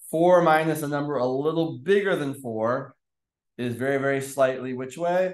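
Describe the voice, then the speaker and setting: With a plain, everyday voice, a man speaks at a moderate pace, his fairly high pitch varying in an ordinary way. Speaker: math teacher. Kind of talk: lecture.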